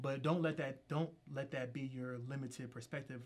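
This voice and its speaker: A man talks at a fairly quick pace with a medium pitch and a somewhat breathy voice. His intonation is monotone and flat. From Philadelphia, Pennsylvania. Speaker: political candidate. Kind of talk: interview.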